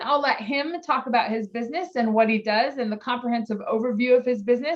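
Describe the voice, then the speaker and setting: A woman talks at a fairly quick pace with a high pitch and ordinary pitch variation. Noticeable background noise runs behind her. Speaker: podcast host. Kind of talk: podcast interview.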